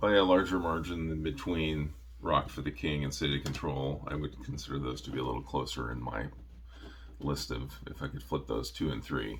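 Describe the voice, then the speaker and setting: A man's very deep, low mumbling with vocal fry, ordinary pitch variation, a moderate pace and audible room echo. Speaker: metal music reviewer. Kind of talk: casual monologue review. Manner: halting, many fillers.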